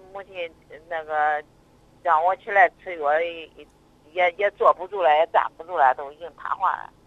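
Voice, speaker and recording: The speech comes at a fairly slow pace. Long, frequent pauses break it up. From Zhumadian, Henan. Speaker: caller, patient. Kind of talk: phone call-in consultation. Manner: hesitant.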